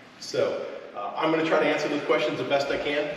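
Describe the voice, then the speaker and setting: A man amid strong room echo and light background noise. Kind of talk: town hall address. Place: hall. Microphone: camera far.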